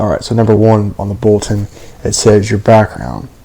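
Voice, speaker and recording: At a fairly quick pace, a man speaks at a medium pitch with noticeable background noise. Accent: American. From Florida. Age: young. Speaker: college student. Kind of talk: casual self-introduction video. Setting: video recording. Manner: halting.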